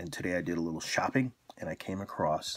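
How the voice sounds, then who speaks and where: A man speaks quietly. His intonation is lively. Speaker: beer reviewer. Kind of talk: casual video review.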